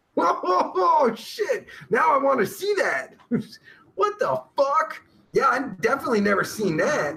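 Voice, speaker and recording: In a raised, projected voice, a man speaks at a fairly slow pace with extremely high pitch, very wide pitch swings and very even loudness. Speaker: livestream host reading chat. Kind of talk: casual livestream chat. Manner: animated.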